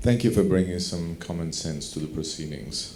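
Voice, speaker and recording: The man's pitch is very deep and low, with ordinary variation. Room echo is audible. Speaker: doctor, audience panelist. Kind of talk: conference Q&A comment. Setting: conference hall, microphone passed around.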